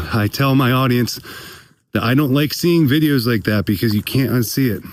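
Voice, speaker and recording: Speaking at a fairly quick pace, a man has an unremarkable speaking voice with a medium pitch and ordinary pitch variation. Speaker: comedian, podcast host. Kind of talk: casual talk to camera while hunting. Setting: outdoors, in the woods.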